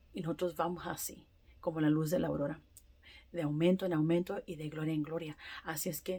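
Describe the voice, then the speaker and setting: A woman's dark, mellow tone, fairly low in pitch, with fairly even intonation. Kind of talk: testimony. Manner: halting; emphatic.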